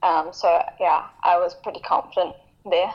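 With a plain, everyday voice, a woman talks at a moderate pace and medium pitch, her intonation fairly even. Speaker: professional cyclist, under-23 world champion. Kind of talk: interview answers.

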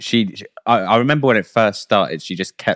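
Lively intonation runs through this vocal-fry voice, captured with a dry, close sound and no echo. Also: man. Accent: British. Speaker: podcast host. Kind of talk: casual banter podcast.

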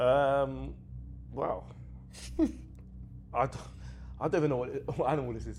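With long, frequent pauses, a man speaks at a moderate pace. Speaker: comedian. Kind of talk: casual chat.

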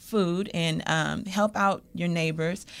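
This is a plain, everyday voice with fairly even intonation. The recording is very clean with a silent background. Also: woman. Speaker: entertainment executive and human rights advocate. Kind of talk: radio interview, casual chat. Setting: radio show.

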